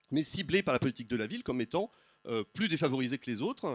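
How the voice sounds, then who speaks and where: At a very fast pace, a man talks with a fairly high pitch and very wide pitch swings, in a dry, close sound with no echo on a very clean recording with a silent background. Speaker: sociology professor. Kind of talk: conference talk with slides. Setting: round table before audience. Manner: hesitant, many fillers.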